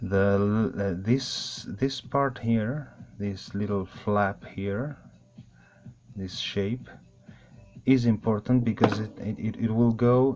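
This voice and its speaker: With music in the background, a man with a non-native accent speaks very slowly at a fairly low pitch, his intonation fairly even and his pauses long and frequent. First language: not English. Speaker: airsoft hobbyist. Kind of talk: tutorial. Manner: halting.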